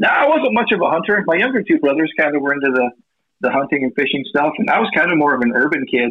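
A man's fairly high voice at a very fast pace, with very even loudness. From US Midwest, southwest Iowa. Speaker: indie film actor and sales manager. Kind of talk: casual chat.

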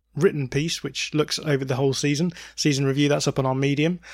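A man speaks with an English accent in a monotone, flat intonation. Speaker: football podcast host. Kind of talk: casual chat.

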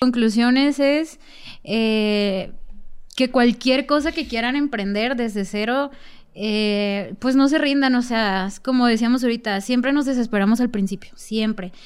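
A woman with an unremarkable speaking voice talks at a fairly slow pace, her fairly high pitch showing ordinary variation, in a very clean recording with a silent background. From Mexico outside the capital. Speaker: podcast guest. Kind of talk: casual chat.

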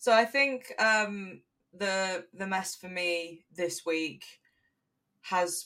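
Here is a woman with an English accent and a bright, sharp tone. Her medium pitch shows ordinary variation. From England. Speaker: podcast co-host. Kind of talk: casual chat.

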